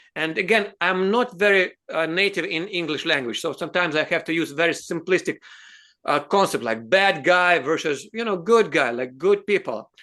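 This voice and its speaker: Over a quiet background, a man talks fairly quickly in a high, bright, sharp voice with lively intonation. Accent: Russian. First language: Russian. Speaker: advocacy show host. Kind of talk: interview discussion. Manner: halting.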